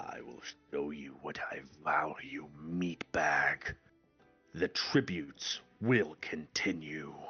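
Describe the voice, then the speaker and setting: Using a put-on character voice at a very deep, low pitch, a man speaks at a very slow pace with ordinary pitch variation and big swings in loudness, with faint music in the background. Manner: cruel, amused, menacing.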